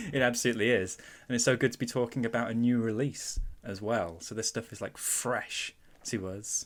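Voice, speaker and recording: A man with a Mancunian accent at a medium pitch and fairly quick pace, his intonation fairly even, on a very clean recording with a silent background. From Manchester, northern England. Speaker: podcast host. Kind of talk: casual chat.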